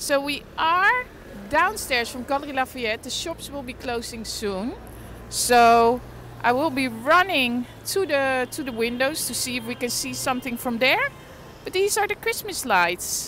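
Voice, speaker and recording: A woman's high voice with lively intonation at a fairly slow pace, in a dry sound with no echo and light background noise. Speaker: livestreaming vlogger. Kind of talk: casual livestream chat. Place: street. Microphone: phone near.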